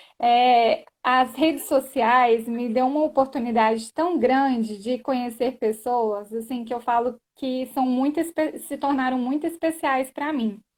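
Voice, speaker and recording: A woman's high-pitched voice at a fairly slow pace, fairly even in intonation, on a very clean recording with a silent background. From Brasília area, Goiás and Minas Gerais, Brazil. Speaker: lawyer. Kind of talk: live stream conversation.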